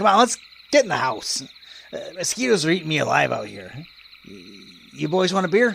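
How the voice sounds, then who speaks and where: Putting on a character voice, a man talks high in pitch at a fairly quick pace, broken by long, frequent pauses. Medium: audio drama. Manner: blunt, folksy.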